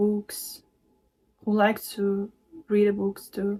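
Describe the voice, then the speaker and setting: A woman with a non-native accent speaks in a medium-pitched voice with a dark, mellow tone and flat, monotone intonation. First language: not English. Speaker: spiritual card reader and meditation teacher. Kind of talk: tarot-style channeled message reading. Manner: hesitant, many fillers.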